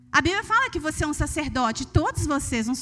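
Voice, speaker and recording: Music plays behind a woman speaking with a Minas Gerais accent. Her high voice swings very widely in pitch. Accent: Minas Gerais Brazilian Portuguese. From Brazil, Minas Gerais. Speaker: preacher. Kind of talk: sermon. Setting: church.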